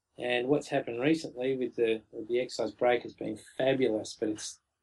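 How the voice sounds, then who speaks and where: Speaking at a moderate pace, a man with an Australian accent has a medium pitch. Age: 40s. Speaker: brewery co-founder. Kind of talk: interview.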